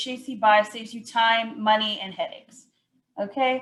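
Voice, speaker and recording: Here a woman speaks in a plain, everyday voice. Her pitch is fairly high, with ordinary variation, and her pace is moderate. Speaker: outreach coordinator presenting a purchasing program. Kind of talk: webinar presentation.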